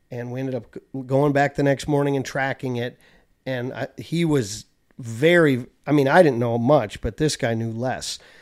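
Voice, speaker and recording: A man with an American accent and a normal speaking voice talks at a medium pitch with fairly even intonation, in a very clean recording with a silent background. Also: moderate pace. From US Midwest, Chicago suburbs. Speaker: land manager and broker. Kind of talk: casual chat.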